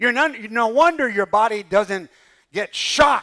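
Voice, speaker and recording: A raised, projected voice with a bright, sharp tone and lively intonation sounds animated. The recording is very clean with a silent background. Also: man. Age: 60s. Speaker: pastor. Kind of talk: sermon.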